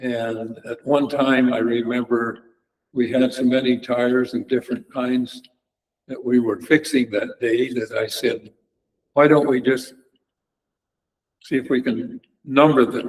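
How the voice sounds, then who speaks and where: The voice moves at a fairly slow pace with monotone, flat intonation and long, frequent pauses. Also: man, medium pitch for a man. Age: 90s. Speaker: local history speaker. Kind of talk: oral history talk. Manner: halting.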